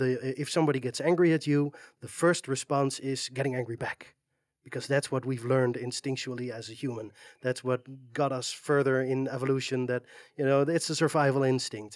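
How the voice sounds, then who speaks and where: A man speaks at a moderate pace in a medium pitch, with a dry, close sound and no echo. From Netherlands. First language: Dutch. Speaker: community moderator and web developer. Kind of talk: interview. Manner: hesitant, many fillers.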